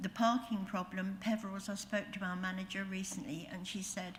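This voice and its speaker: A somewhat breathy woman speaks at a moderate pace. Her intonation is fairly even, and room echo is audible. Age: 70s. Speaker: public speaker at planning meeting, retirement home resident. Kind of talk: public address at council meeting. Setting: council meeting. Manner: halting.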